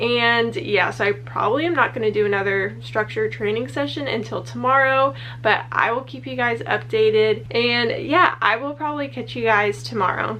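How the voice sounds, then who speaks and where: With noticeable background noise behind her, a woman at medium pitch talks at a moderate pace with hardly any pauses and very wide pitch swings. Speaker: vlogger training her puppy. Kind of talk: casual vlog talk to camera. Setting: at the office during lunch. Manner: quiet, talking softly.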